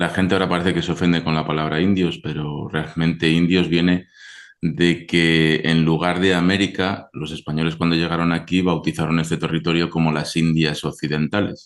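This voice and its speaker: Spoken with a Spanish accent at a moderate pace. The intonation stays monotone and flat. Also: man. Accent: Spanish (Spain). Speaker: historian, archaeologist. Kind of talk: interview.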